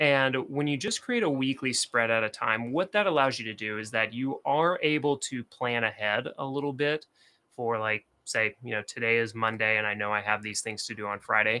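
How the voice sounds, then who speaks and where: In an American accent, this speaker talks at a moderate pace with hardly any pauses, ordinary pitch variation and a bright, sharp tone, recorded very cleanly against a silent background with a dry, close sound and no echo. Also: man, medium pitch for a man. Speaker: productivity and bullet journal creator. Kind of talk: casual livestream talk to camera.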